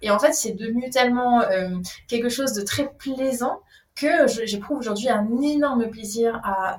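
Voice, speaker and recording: Fairly high female speech, moderately paced, its pitch varying in an ordinary way. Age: 30s. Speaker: breathing coach. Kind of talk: casual chat. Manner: animated.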